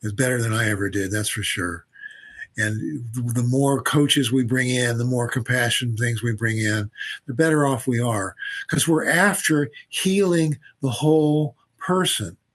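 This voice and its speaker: Speaking at a fairly slow pace, a man has a medium pitch and a somewhat breathy voice. His intonation is lively. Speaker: physician and researcher. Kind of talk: interview conversation. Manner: halting, repeats words.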